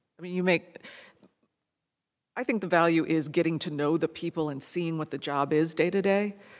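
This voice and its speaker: Speech comes at a moderate pace with long, frequent pauses. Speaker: lawyer. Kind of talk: panel discussion. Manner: quiet.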